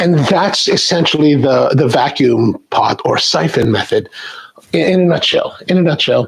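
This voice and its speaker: A man speaks at a moderate pace with very even loudness. Noticeable background noise runs underneath. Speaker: coffee video host. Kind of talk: tutorial. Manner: halting.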